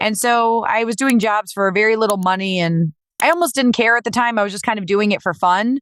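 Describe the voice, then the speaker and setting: A woman's fairly high voice, a normal speaking voice with an American accent, ordinary pitch variation and a dry, close sound with no echo. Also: fairly quick pace. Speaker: professional voice actor. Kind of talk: interview answer.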